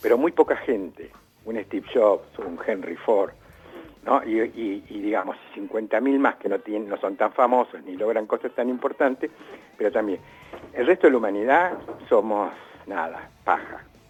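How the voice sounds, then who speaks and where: A man's lively intonation at a moderate pace, over noticeable background noise. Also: medium pitch for a man. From Argentina. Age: 60s. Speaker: writer and art critic. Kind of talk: interview. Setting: remote call.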